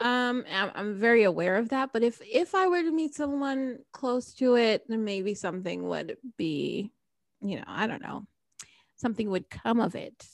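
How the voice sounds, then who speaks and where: In an American accent, a woman with a normal speaking voice talks at a moderate pace and a fairly high pitch, her intonation lively. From New Jersey. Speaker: podcast host. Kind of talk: casual chat; scripted outro.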